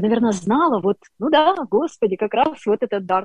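A woman's fairly high, somewhat breathy voice has a dark, mellow tone, recorded with a dry, close sound and no echo. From Ukraine, Dnipro. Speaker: public speaking and voice coach. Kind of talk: interview and faith testimony.

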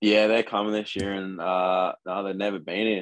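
A man with an Australian accent. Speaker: college football punter. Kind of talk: casual interview chat.

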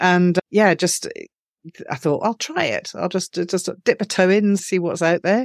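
Talking at a fairly slow pace with hardly any pauses, a woman uses a medium pitch and ordinary pitch variation in a very clean recording with a silent background, the sound dry and close with no echo. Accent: Edinburgh. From Scotland, Edinburgh. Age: 50s. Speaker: author. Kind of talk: interview.

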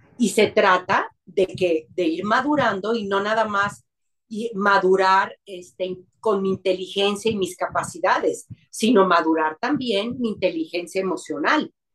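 At a fairly slow pace, a woman speaks in a normal speaking voice at a medium pitch. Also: ordinary pitch variation. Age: 50s. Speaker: psychologist. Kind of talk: interview.

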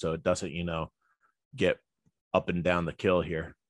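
Over a quiet background, a man with a New Jersey accent speaks in a very deep, low pitch, the sound dry and close with no echo. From New Jersey (Elizabeth). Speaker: boat pilot. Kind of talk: interview.

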